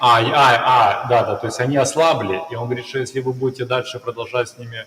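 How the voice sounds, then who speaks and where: Noticeable background noise accompanies very fast speech with fairly even intonation and big swings in loudness. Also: man, medium pitch for a man. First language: Russian. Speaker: interpreter. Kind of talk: live interpretation. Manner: halting.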